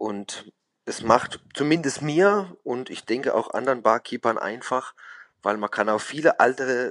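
The speaker talks at a fairly slow pace with a Baden accent. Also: man. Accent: regional dialect (Baden). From Baden, southwest Germany. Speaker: bartender. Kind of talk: interview.

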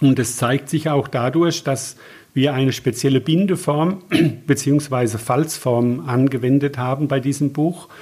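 A man's fairly high-pitched, somewhat breathy voice with a dark, mellow tone, very slow pace, very even loudness and fairly even intonation, in a very clean recording with a silent background. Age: 60s. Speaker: naturopath. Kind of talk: interview. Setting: at guest's practice/home.

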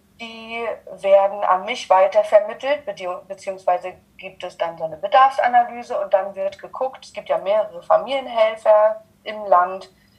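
At a moderate pace, a woman with fairly high pitch uses an unremarkable speaking voice. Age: 30s. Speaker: social worker. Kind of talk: interview.

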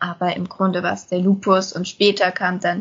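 At a moderate pace, a woman talks with a somewhat breathy quality. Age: 20s. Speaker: lupus patient and self-help group volunteer. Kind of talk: casual podcast conversation.

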